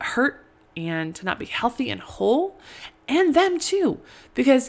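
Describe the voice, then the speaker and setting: A woman speaks at a very slow pace. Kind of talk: teaching monologue. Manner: halting, stuttering; casual, conversational.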